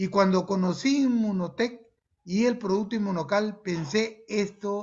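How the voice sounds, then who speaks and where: The speaker is a man with a high pitch. His intonation shows ordinary pitch variation. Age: 60s. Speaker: medical doctor. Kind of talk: testimony.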